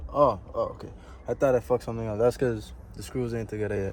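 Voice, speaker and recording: Very fast speech from a man with a Virgin Islands accent, medium in pitch. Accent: Virgin Islands Caribbean English. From US Virgin Islands, Saint Croix. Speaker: futures trader, vlogger. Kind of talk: casual vlog. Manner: casual, filled with ums.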